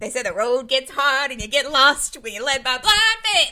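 Lively, high-pitched female speech at a moderate pace. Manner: preaching, gospel-like delivery.

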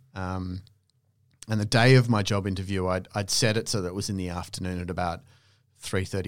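In an Australian accent, a man with a very deep, low voice speaks at a moderate pace, flat and monotone throughout. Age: 40s. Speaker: coffee specialist. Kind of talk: casual chat.

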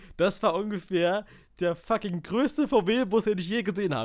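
Captured on a very clean recording with a silent background, a man speaks at a high pitch and a moderate pace. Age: 20s. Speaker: podcast co-host and amateur voice actor. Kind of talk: casual chat.

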